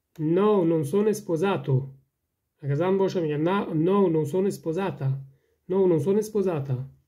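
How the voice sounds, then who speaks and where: The speaker has an Afghan accent. Long, frequent pauses break up the speech. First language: Dari (speaking Italian). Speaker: language teacher. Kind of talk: tutorial. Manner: slow, repeating each sentence.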